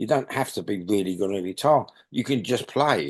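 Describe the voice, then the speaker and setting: A man with a London accent speaks at a fairly quick pace in a very deep, low pitch with very wide swings. The background is quiet. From London, England. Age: 60s. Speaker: punk bass player. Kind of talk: interview. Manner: halting.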